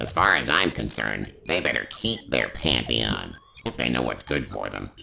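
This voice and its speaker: A man puts on a character voice. His pitch is very deep and low. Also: moderate pace. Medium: voice reel. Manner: sarcastic, blustering.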